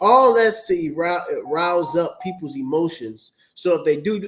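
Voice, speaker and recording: A man's high voice, fairly slow, with lively intonation. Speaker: religious teacher. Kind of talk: online teaching stream.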